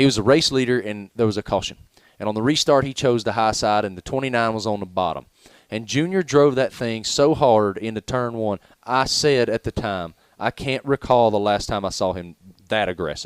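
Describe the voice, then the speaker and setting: Animated man with a Southern US accent, medium pitch and ordinary pitch variation, recorded dry and close with no echo. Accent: Southern drawl. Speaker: sports journalist. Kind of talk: radio interview. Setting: broadcast from racetrack.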